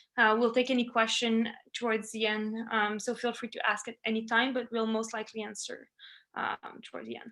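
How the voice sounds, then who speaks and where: A woman with a French accent speaks in a monotone, flat intonation. Her tone is bright and sharp, with a fairly high pitch. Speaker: family medicine resident. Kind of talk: webinar presentation. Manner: halting, many fillers.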